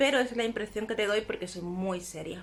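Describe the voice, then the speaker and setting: Talking at a fairly quick pace, a woman with a Cuban accent uses a fairly high pitch and ordinary pitch variation. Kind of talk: casual vlog talk to camera. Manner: chatty, affectionate.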